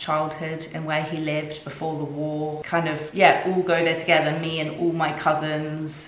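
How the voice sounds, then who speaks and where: Amid audible room echo and light background noise, a woman with a very deep, low pitch talks at a moderate pace in a monotone, flat intonation with hardly any pauses. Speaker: lifestyle vlogger. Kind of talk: casual vlog chat. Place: kitchen.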